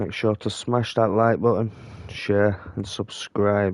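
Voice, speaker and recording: This man speaks at a very slow pace. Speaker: gaming youtuber. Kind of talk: gameplay commentary. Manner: casual, hesitant.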